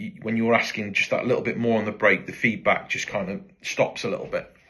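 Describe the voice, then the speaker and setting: In a British accent, a man speaks at a very fast pace. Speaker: motorcycle tyre supplier. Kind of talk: casual talk to camera. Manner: hesitant, many fillers; rambling, informal.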